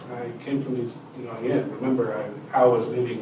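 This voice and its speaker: A man speaks with a Spanish accent. Audible room echo and noticeable background noise surround him. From Mexico. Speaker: pastor and community development leader. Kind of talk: testimony. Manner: halting.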